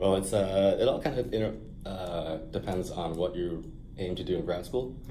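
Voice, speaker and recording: At a moderate pace, a dark, mellow voice with ordinary pitch variation comes through audible room echo. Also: man, very deep, low pitch for a man. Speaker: peer academic advisor. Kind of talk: mock advising session. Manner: hesitant, many fillers.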